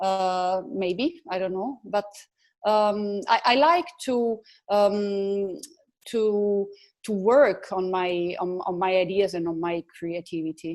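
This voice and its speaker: At a very slow pace, a woman of medium pitch speaks with an Italian accent. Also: ordinary pitch variation. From Italy. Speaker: photographer. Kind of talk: interview. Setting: video call. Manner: halting.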